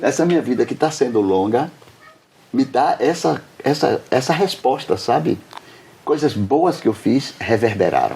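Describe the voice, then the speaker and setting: Over noticeable background noise, a man with a fairly high pitch uses lively intonation and very even loudness, leaving long, frequent pauses. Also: fairly slow pace. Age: 70s. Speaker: doctor and author interviewed. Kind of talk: interview.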